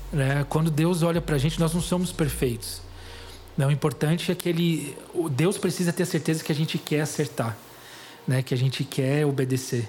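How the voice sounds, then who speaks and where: A man speaks at a fairly high pitch and a moderate pace, somewhat breathy. His loudness stays very even, with ordinary pitch variation. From Greater São Paulo (São Caetano), Brazil. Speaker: missionary and author. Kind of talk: testimony interview.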